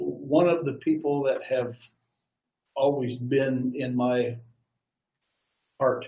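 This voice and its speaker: A somewhat breathy male voice. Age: 70s. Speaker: war veteran. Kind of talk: interview.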